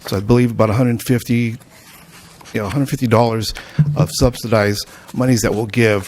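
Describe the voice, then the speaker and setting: Over noticeable background noise, a man talks in a medium pitch with monotone, flat intonation. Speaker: air quality agency presenter. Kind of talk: public meeting presentation. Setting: city council meeting. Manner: fast.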